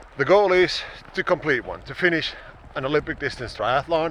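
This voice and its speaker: Noticeable background noise runs under the voice. Its pitch varies in an ordinary way. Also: man. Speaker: fitness vlogger. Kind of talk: casual vlog monologue. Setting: outdoors.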